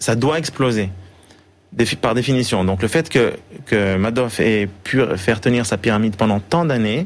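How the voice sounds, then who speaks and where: Speaking fairly slowly, a man keeps his loudness very even, his medium-pitched voice showing ordinary pitch variation. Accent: Swiss. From Switzerland, Geneva. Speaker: financial analyst and author. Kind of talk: TV interview. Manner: hesitant, many repetitions.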